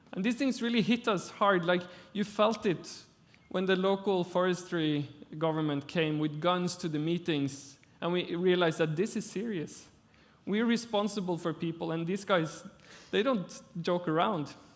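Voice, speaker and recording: A man with a Norwegian accent speaks at a moderate pace. His pitch is high, with ordinary variation. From Norway. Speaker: architect. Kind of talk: lecture. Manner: halting.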